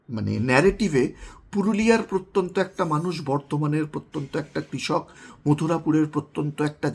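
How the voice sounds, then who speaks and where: A man talks with an unremarkable speaking voice. His pitch variation is ordinary. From West Bengal. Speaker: political commentator. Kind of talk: video monologue.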